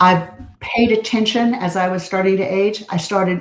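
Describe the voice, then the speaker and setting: A somewhat breathy woman talks fairly slowly, her pitch varying in an ordinary way. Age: 70s. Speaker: speaker. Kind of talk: interview.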